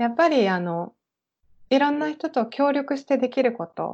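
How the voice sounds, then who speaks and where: In a normal speaking voice, a woman speaks at a moderate pace with lively intonation. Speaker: private tour guide. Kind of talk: interview.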